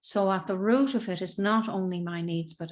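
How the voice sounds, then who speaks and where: A woman speaks at a medium pitch with ordinary pitch variation, on a very clean recording with a silent background. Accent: Irish. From Southern Ireland. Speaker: emotional intelligence and communication coach. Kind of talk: interview answer.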